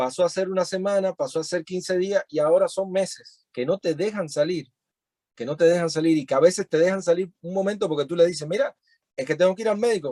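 A high-pitched man at a moderate pace, ordinary pitch variation, and a dry, close sound with no echo. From Cuba (Cienfuegos, later Havana). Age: 30s. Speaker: musician and activist. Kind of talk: interview. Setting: video call.

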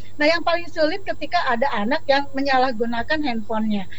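A woman's high-pitched, very fast speech amid audible room echo and noticeable background noise. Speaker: school counselor. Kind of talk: panel discussion. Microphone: connection breaking up at times.

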